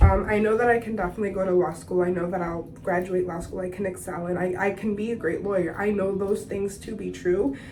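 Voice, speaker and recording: A woman speaks fairly quickly at a medium pitch, with audible room echo around her. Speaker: beauty vlogger. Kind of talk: casual chat. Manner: casual, filler-heavy.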